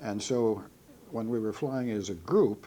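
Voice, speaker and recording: Very slowly, a man speaks with a Midwestern American accent, a dark, mellow tone and medium pitch. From Ohio, USA. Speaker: World War II B-17 pilot veteran. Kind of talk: oral history interview answer.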